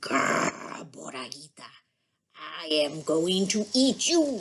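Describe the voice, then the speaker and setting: In a growling, put-on character voice at a middle pitch, the speaker moves at a fairly slow pace with very wide pitch swings. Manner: growling, menacing.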